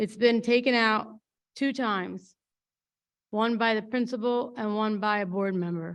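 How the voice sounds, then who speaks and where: A woman speaks at a fairly slow pace with long, frequent pauses. Her pitch is fairly high, and the background is quiet. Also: fairly even intonation. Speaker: school board member. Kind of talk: public meeting remarks. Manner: halting.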